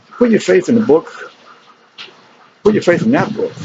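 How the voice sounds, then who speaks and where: Fairly quick speech from a man, noticeable background noise underneath. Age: 60s. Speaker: spiritual speaker. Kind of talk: monologue. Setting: outdoors.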